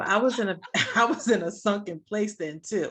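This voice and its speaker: A woman's voice with ordinary pitch variation. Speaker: podcast co-host and ministry woman. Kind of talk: casual chat. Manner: soft-spoken.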